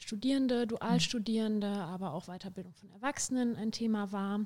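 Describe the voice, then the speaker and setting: A woman's voice comes through on a very clean recording with a silent background. It is dark, mellow and somewhat breathy, of medium pitch with ordinary variation, at a moderate pace. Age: 20s. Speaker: student and union youth activist. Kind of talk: casual chat.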